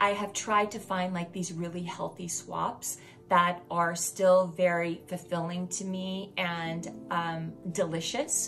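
Faint music plays behind a very slow pace and fairly even intonation. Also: woman. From Louisiana. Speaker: wellness channel host. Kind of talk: casual vlog monologue. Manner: conversational with many fillers. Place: home room.

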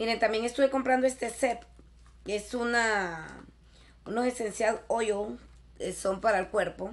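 A woman speaks with ordinary pitch variation. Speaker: YouTuber; haul vlogger. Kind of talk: shopping haul video. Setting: in a store. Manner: animated. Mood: cheerful, enthusiastic. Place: home room. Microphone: webcam.

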